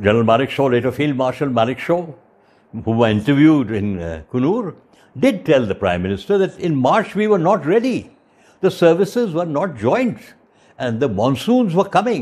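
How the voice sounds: The voice swings widely in pitch, moving at a moderate pace with a slightly mellow tone. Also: man, medium pitch for a man.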